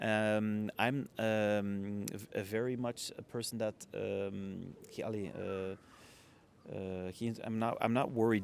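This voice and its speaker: A man in a Flemish accent, very slow pace, fairly even intonation. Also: fairly low pitch for a man. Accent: Flemish Belgian. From Ghent, Belgium. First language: Dutch. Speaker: hospitality entrepreneur. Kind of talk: podcast interview answer. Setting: outdoors. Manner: hesitant, many filler sounds.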